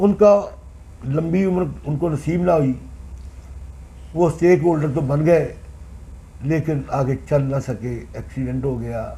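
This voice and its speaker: Pausing often and at length, a man speaks at a fairly high pitch with ordinary pitch variation. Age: 60s. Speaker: former municipal councillor. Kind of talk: interview.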